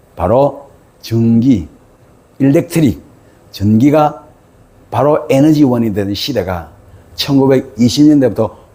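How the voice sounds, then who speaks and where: Speaking in a Gyeongsang accent, a man uses a dark, mellow, somewhat breathy tone at a fairly slow pace. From South Korea, Gyeongsang province. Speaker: author and lecturer. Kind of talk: lecture. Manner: animated.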